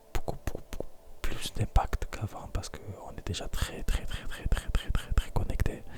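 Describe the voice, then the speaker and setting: A man whispers at a moderate pace in a calm tone. Noticeable background noise runs under his voice. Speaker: ASMR content creator. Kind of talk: confessional talk to camera about life. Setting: recorded alone at night, intimate close microphone. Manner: whispered, soft-spoken, calm; tired, hesitant, pausing often.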